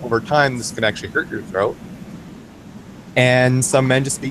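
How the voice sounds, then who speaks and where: Noticeable background noise sits behind a man talking at a fairly quick pace. His pitch is medium. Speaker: game master. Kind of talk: casual talk to camera.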